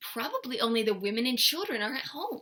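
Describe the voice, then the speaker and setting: Using a put-on character voice, a woman talks in a high pitch at a fairly quick pace. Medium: read story. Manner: sly.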